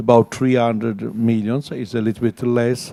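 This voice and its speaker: Dry and close with no echo, a man speaks in a dark, mellow tone with an Italian accent. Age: 60s. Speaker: architect. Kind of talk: panel talk. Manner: halting.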